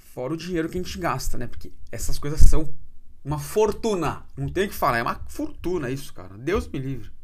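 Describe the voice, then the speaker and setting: Speaking at a fairly quick pace in an animated tone, a man swings widely in loudness while room echo is audible. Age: 30s. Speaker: podcast host. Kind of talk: casual monologue.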